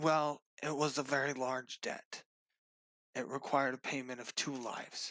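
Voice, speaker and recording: Putting on a character voice, a man speaks in a raspy, hoarse, medium-pitched tone with monotone, flat intonation at a moderate pace, leaving long, frequent pauses. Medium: actual play. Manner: stammering.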